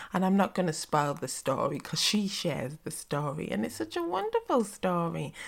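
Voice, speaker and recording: A woman speaks at a fairly quick pace with hardly any pauses, her pitch fairly low and her intonation lively. There is vocal fry, and the recording is very clean with a silent background. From northern England, West Yorkshire. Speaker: podcast host. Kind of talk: casual interview chat.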